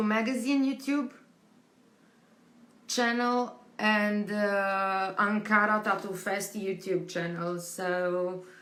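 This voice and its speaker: Speaking very slowly, a woman with a Romanian accent uses a medium pitch and ordinary pitch variation. Room echo is audible. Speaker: tattoo convention team member hosting interviews. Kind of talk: live stream chat to viewers. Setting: home live stream during quarantine. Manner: halting, many fillers.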